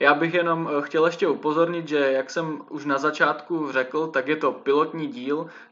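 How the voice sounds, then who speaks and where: A man talks in a monotone, flat intonation. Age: 20s. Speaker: podcast host, journalism student. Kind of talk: casual chat. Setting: remote recording over computers.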